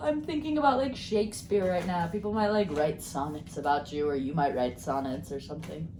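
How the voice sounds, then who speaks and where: A woman speaks at a moderate pace with hardly any pauses. Audible room echo and noticeable background noise accompany her. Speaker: tarot and crystal card reader. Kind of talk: card reading video. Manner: casual, rambling with fillers.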